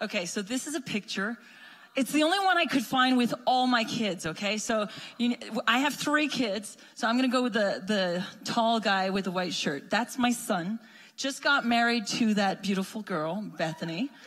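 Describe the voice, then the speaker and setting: With a slight French Canadian accent, a woman speaks at a moderate pace, her fairly high pitch rising and falling in lively intonation. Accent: lightly French Canadian-accented English. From Quebec. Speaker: missionary. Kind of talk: church greeting. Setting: church.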